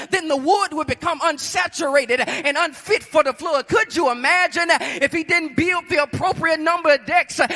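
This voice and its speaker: At a moderate pace with hardly any pauses, a man with an extremely high pitch and ordinary pitch variation speaks in a raised, projected voice, the sound dry and close with no echo and music in the background. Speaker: preacher. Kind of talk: sermon delivered to a congregation. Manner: direct, emphatic, exhortative.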